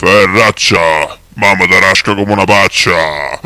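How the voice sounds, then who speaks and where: In a put-on character voice, a man growls his lines at a fairly slow pace. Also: fairly low pitch for a man. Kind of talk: advertising jingle. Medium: comedy sketch. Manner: repeats others' words prefixed with its own name.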